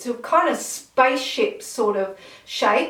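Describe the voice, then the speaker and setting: A woman's high-pitched voice comes through with noticeable noise in the background. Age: 50s. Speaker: beauty vlogger. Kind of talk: casual product review to camera.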